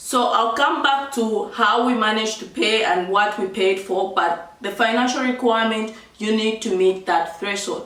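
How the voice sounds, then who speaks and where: A woman speaks at a moderate pace with a fairly high pitch, ordinary pitch variation and hardly any pauses. Noticeable background noise and audible room echo are present. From Zambia. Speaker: vlogger. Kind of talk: tutorial. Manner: casual, chatty.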